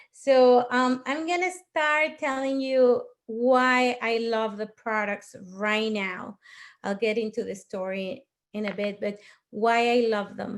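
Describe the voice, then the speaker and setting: In a Mexican accent, a woman with a fairly high voice speaks at a very slow pace on a very clean recording with a silent background. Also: ordinary pitch variation. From Mexico. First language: Spanish. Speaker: network marketing leader. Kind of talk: testimony.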